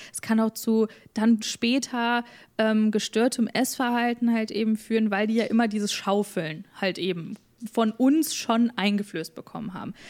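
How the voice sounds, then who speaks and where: With a plain, everyday voice, a woman speaks at a moderate pace in a fairly high pitch and fairly even intonation, recorded very cleanly against a silent background. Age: 20s. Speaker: influencer and podcaster. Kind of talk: casual chat.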